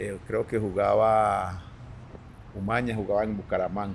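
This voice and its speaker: A man with a fairly low pitch. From Colombia, Antioquia (Medellín). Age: 60s. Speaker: former professional footballer. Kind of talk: casual interview chat. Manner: halting, repeats words.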